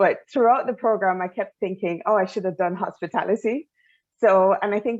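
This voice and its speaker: A woman with a Jamaican accent, ordinary pitch variation and a fairly quick pace. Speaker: travel industry manager, alumna panelist. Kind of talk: panel discussion.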